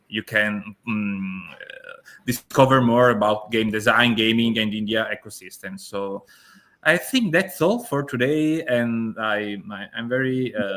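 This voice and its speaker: With an Italian accent, a man speaks at medium pitch and a fairly slow pace, his pitch varying in an ordinary way and his loudness swinging widely. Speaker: event host. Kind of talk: online interview. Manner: halting.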